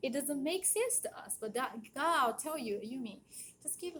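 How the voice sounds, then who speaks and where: In a Japanese accent, a woman talks at a moderate pace with lively intonation and a bright, sharp tone. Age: 40s. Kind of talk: casual monologue.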